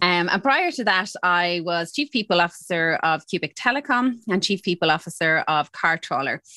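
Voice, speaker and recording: With an Irish accent, a woman speaks at a moderate pace and fairly low pitch, using a bright, sharp tone and lively intonation with hardly any pauses, in dry, close sound with no echo and a very clean recording with a silent background. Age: 40s. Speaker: HR executive. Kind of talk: interview.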